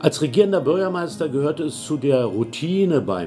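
A man speaks with very wide pitch swings. Faint music plays in the background. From Berlin, Germany. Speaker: former mayor of Berlin, politician. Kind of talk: interview answer. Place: office.

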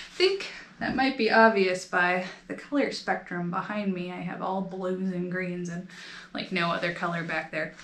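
In a space with audible room echo and light background noise, a woman with an American accent talks at a moderate pace with fairly even intonation. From United States. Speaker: knitting video creator. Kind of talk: casual show-and-tell vlog. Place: home room. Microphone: phone near.

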